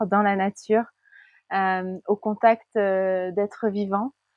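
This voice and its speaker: The speaker is a woman. She talks in a flat, monotone way. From Paris region, France. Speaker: life coach. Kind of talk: interview.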